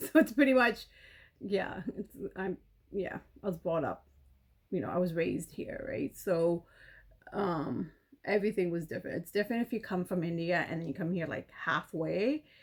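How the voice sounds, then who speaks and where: A woman speaks at a moderate pace and a medium pitch with lively intonation. Long, frequent pauses break up her speech. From Canada. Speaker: beauty vlogger. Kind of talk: casual chat. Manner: halting.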